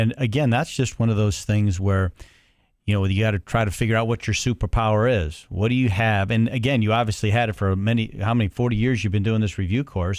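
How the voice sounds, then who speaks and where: Very fast speech comes from a man with a fairly low pitch. Everything is recorded very cleanly over a silent background. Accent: Cleveland. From Cleveland, Ohio. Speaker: podcast co-host. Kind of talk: interview.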